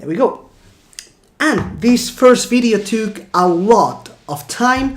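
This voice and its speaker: A woman's fairly high voice with vocal fry, big swings in loudness and a very slow pace, plus audible room echo. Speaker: gaming YouTuber. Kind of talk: gameplay commentary outro; casual explanation.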